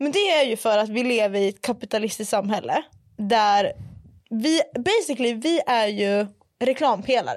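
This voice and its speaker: A woman with a slight northern Swedish accent talks at a moderate pace in a fairly high, animated voice, keeping her loudness very even. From northern Sweden, Umeå. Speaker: podcast host. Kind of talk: casual chat. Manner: animated, mixes in English.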